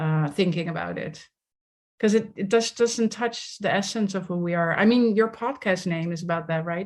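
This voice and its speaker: A woman with a Dutch accent talks at a moderate pace in a medium pitch with ordinary pitch variation, over a quiet background. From Netherlands, village near The Hague. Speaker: somatics leadership coach. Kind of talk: interview conversation.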